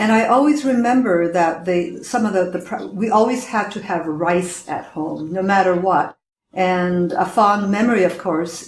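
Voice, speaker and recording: Speaking in a Canadian accent, a woman talks at a fairly slow pace and medium pitch, with ordinary pitch variation, in an unremarkable speaking voice. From western Canada, Vancouver, British Columbia. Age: 60s. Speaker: storyteller. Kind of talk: personal life story.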